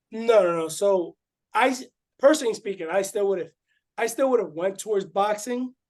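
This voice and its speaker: The speaker talks at a fairly quick pace with ordinary pitch variation. The background is quiet. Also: man, high pitch for a man. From Puerto Rico. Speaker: former boxer and growth coach. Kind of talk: interview.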